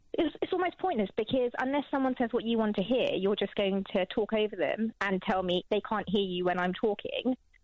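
A woman with an unremarkable speaking voice talks at a fairly quick pace with hardly any pauses, her fairly high pitch carried by lively intonation and very even loudness. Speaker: lawyer. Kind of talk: heated debate. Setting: phone call.

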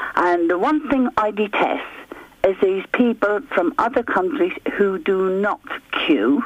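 An Irish accent at a fairly slow pace, with noticeable background noise. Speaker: radio caller. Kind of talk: phone-in chat.

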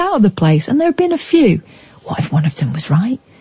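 A woman talks at a very fast pace with very wide pitch swings over noticeable background noise. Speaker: late night radio host. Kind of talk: late night phone-in radio. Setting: radio studio. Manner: animated.

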